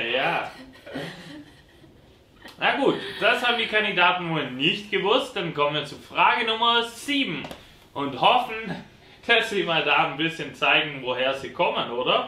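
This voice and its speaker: Raised and projected, a man's high-pitched voice makes very wide pitch swings at a fairly slow pace, broken by long, frequent pauses, with audible room echo around it. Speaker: quiz host. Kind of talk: game show hosting. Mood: playful, teasing. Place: studio.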